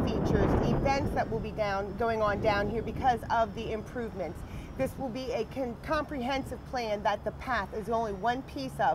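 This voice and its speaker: A woman talks at a moderate pace. Noticeable background noise runs behind her. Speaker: interviewee. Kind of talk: interview answer. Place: waterside. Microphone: lapel.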